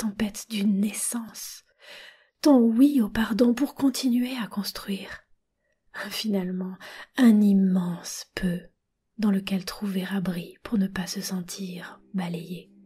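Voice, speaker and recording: Very slow, with long, frequent pauses, a woman speaks in a dark, mellow, somewhat breathy tone, her pitch fairly high with ordinary variation. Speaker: reader. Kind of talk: literary text reading.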